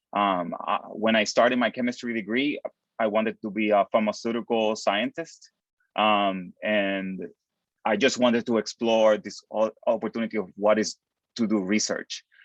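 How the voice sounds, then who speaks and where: A man with a Puerto Rican accent speaks at a fairly low pitch with fairly even intonation, in a dry, close sound with no echo. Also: moderate pace. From Puerto Rico. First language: Spanish. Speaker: postdoctoral chemist. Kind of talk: panel discussion. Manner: halting, many fillers and repetitions.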